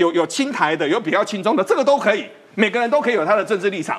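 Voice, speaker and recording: A man speaks with a high pitch and very wide pitch swings. Noticeable background noise sits behind him. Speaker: financial expert. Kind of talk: political talk show discussion.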